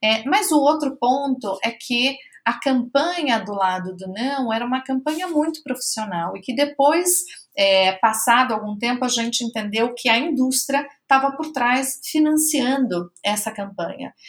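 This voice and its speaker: High-pitched and fairly slow, a woman's voice comes through. The intonation rises and falls in a lively way. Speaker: NGO program director and public policy researcher. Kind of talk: interview.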